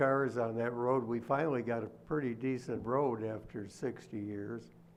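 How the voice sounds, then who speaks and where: In a room with audible echo, a man speaks at a moderate pace with fairly even intonation. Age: 80s+. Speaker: local resident addressing board. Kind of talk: public comment at meeting. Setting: township board meeting hall. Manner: halting.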